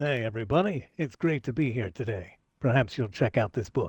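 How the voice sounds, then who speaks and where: In a put-on character voice, a man speaks at a fairly quick pace with lively intonation and medium pitch, recorded very cleanly against a silent background with a dry, close sound and no echo. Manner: friendly, greeting an audience.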